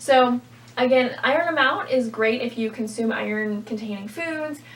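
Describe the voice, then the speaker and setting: A woman's high voice at a moderate pace, with noticeable background noise. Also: ordinary pitch variation. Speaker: registered dietitian. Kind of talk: product review vlog.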